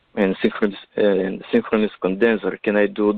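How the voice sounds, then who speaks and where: A man with a non-native accent speaks at fairly low pitch and a moderate pace. His intonation is monotone and flat. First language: not English. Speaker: caller. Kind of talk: question to guest. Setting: phone call. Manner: halting, many fillers.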